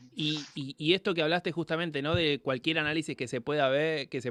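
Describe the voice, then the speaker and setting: A man with a plain, everyday voice, a fairly quick pace, and fairly even intonation against a quiet background. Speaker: radio interviewer. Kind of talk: interview.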